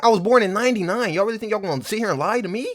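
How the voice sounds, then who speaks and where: A man's animated, very fast speech on a very clean recording with a silent background. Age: 20s. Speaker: streamer and rapper. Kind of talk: casual stream commentary.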